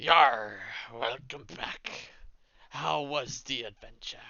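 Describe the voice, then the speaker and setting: A man puts on a raspy character voice at medium pitch, speaking very slowly. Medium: actual play. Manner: gruff, stern.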